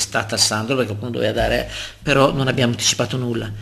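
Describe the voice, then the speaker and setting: A man speaks over noticeable background noise. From Lombardy, northern Italy. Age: 60s. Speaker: local politician. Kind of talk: interview. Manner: talkative.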